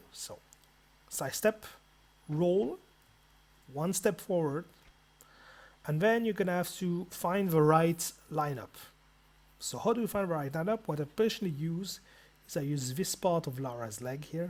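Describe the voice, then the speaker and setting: The speaker has a non-native accent and leaves long, frequent pauses, on a very clean recording with a silent background. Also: moderate pace. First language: not English. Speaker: video game tutorial maker. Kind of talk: tutorial. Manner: casual, halting with repetitions.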